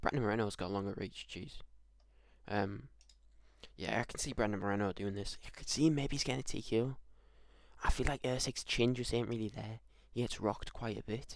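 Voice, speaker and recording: Speaking quietly and fairly quickly, a man with medium pitch and ordinary pitch variation leaves long, frequent pauses. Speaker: MMA YouTuber giving fight predictions. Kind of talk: solo prediction video, casual monologue. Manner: hesitant, many fillers and repeats.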